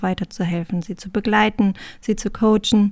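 Somewhat breathy, a woman's voice comes through a very clean recording with a silent background. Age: 30s. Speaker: podcast co-host and family manager. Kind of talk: casual chat.

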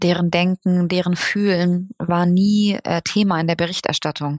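Her delivery is monotone and flat at a moderate pace. The woman's pitch is medium, and the sound is dry and close with no echo. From Germany. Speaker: journalist. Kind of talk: interview.

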